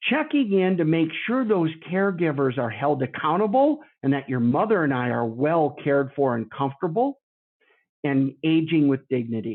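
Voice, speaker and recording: This is a normal speaking voice at a moderate pace. Its intonation is lively. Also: man, fairly high pitch for a man. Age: 50s. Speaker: long-term care insurance consultant. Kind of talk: podcast interview.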